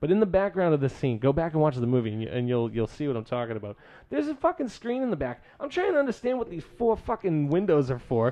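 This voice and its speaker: Talking at a very fast pace with hardly any pauses, a man uses a fairly high pitch, very wide pitch swings, and an animated tone. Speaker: podcast host. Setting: recording session with drinks. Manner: joking, animated.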